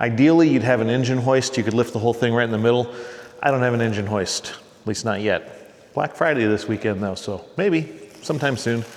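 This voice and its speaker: Against noticeable background noise, a man talks in a relaxed tone at a fairly quick pace. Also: medium pitch for a man, ordinary pitch variation. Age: 40s. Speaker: car restoration YouTuber. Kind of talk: casual tutorial. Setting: garage workshop. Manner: relaxed, conversational.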